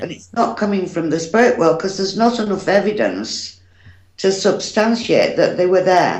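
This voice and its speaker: The woman's pitch is medium, her pace moderate, and her pitch variation ordinary. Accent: British. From United Kingdom. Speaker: psychic medium. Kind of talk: interview answer.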